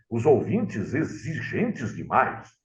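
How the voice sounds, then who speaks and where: Marked by vocal fry, the voice moves through very wide pitch swings at a fairly slow pace. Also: man. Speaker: radio announcer. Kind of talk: interview storytelling.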